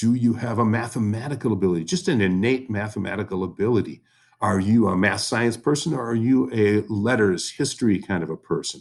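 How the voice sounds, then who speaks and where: A man's fairly low voice, a normal speaking voice, with ordinary pitch variation at a fairly quick pace. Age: 60s. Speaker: history teacher. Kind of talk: recorded class lesson. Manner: conversational.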